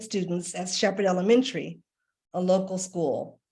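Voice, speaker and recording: A woman speaks with an American accent at medium pitch. Her voice is somewhat breathy. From Washington, D.C., US. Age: 60s. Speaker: artist and art educator. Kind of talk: presentation. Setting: video call.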